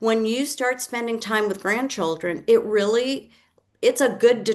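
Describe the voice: A woman's fairly high-pitched voice at a fairly slow pace, with ordinary pitch variation.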